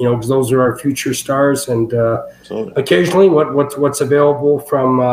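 Over noticeable background noise, a man with a Canadian accent speaks at a fairly high pitch and a moderate pace with fairly even intonation. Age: 60s. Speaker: former pro wrestler and booker. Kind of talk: interview. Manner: halting, many repeats and fillers.

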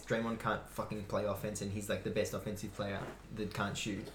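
Audible room echo surrounds a man speaking with an Australian accent. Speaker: basketball podcast co-host. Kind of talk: casual chat.

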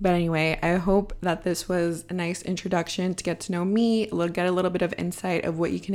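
On a very clean recording with a silent background, a woman speaks at a medium pitch with an American accent. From California, San Francisco Bay Area. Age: 20s. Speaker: podcast host. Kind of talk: solo podcast monologue, casual. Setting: home apartment.

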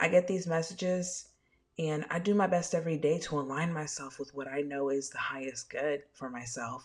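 Speaking at a moderate pace, a woman with a very deep, low pitch uses an animated tone and ordinary pitch variation. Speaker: spiritual medium podcaster. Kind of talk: casual solo podcast intro. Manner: animated, sassy, casual.

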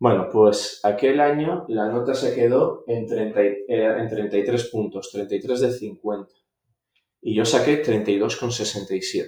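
The man speaks at a very slow pace. His pitch is medium, with ordinary variation. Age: 30s. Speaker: public prosecutor. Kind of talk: interview.

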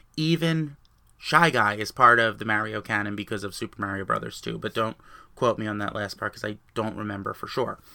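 A man with a New Jersey accent speaks at a moderate pace with ordinary pitch variation. His tone is bright and sharp, on a very clean recording with a silent background. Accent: New Jersey American. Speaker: gaming podcaster. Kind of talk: solo podcast monologue.

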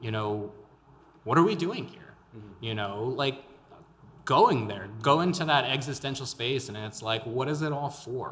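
The speaker has an American accent, a moderate pace and ordinary pitch variation, with big swings in loudness. There is noticeable background noise. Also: man, medium pitch for a man. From El Paso, Texas. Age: 20s. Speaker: podcaster and local political candidate. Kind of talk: interview. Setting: studio.

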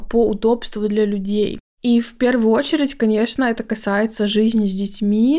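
A woman talks at a moderate pace with a fairly high pitch. Her tone is dark and mellow, with fairly even intonation. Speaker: podcast host, Swedish language teacher. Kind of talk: casual monologue.

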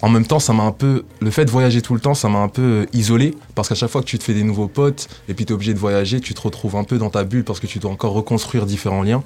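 Over noticeable background noise, a man at a medium pitch speaks at a very fast pace with hardly any pauses and fairly even intonation. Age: 20s. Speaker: rapper. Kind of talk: radio interview.

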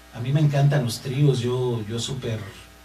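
A man speaks with noticeable background noise around him. Audible room echo can be heard as well. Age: 30s. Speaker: singer and guitarist. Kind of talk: interview.

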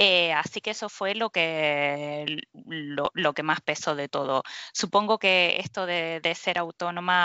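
A woman talks in a fairly low pitch. Her pace is fairly slow and her intonation fairly even. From Argentina, Mar del Plata. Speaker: structural engineer. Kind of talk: interview. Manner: halting.

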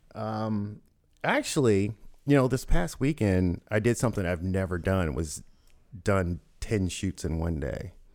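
Speaking with an American accent at a fairly slow pace, a man uses an ordinary speaking voice pitched fairly low, with lively intonation, on a very clean recording with a silent background. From US South, Louisville, Kentucky. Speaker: photographer. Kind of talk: casual interview. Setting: studio.

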